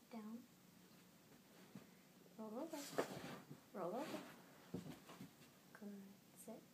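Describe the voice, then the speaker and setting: Soft-spoken and fairly high in pitch, a woman talks at a very slow pace with ordinary pitch variation and long, frequent pauses, over noticeable background noise. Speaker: dog trainer. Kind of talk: short verbal commands to a dog.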